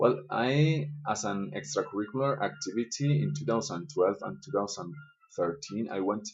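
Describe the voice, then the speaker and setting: A man talks with a Spanish accent. His pitch swings very widely. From Colombia. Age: 20s. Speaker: schoolteacher. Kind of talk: self-interview reading questions and answering. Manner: hesitant with fillers.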